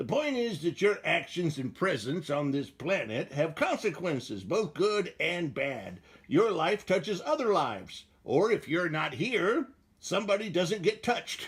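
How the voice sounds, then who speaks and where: Doing a cartoonish character voice, a man speaks at a high pitch and a moderate pace. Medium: puppet show. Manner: wisecracking.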